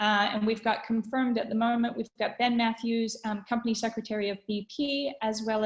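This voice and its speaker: Spoken with a Canadian accent at a moderate pace, this is a plain, everyday voice with fairly even intonation. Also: woman. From Canada. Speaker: webinar host, communications consultant. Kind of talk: webinar presentation. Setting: online webinar call. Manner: conversational with frequent fillers.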